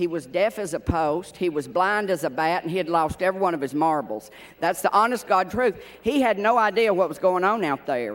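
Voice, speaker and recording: Talking at a fairly quick pace, a man with a Tennessee accent uses a high pitch and lively intonation. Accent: Tennessee accent mistaken for Irish. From Tennessee hills, US South. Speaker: award presenter, TV personality, former exercise rider. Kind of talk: award presentation; humorous award speech.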